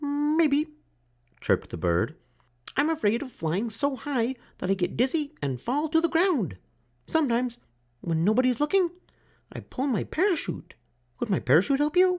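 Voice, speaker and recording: In a put-on character voice with a high pitch, the speaker moves at a moderate pace with long, frequent pauses. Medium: read story.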